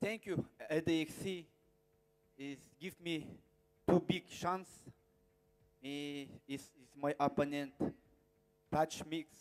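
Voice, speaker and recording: A man at a fairly high pitch and a very slow pace, with fairly even intonation, long, frequent pauses and big swings in loudness. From Kazakhstan. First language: Kazakh or Russian. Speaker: mixed martial artist. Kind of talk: press conference statement. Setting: press conference. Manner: halting.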